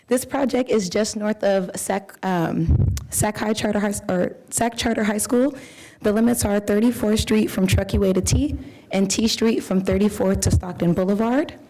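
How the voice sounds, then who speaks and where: A woman talks at medium pitch with ordinary pitch variation and very even loudness. Noticeable background noise runs behind her. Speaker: civil engineer. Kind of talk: staff presentation. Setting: city commission meeting. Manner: fast.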